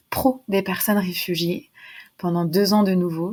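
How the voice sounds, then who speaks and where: A woman's somewhat breathy voice at medium pitch, fairly slow and fairly even in intonation, on a very clean recording with a silent background. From western France, near Nantes. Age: 20s. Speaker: sophrologist and mental health entrepreneur. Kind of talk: podcast interview.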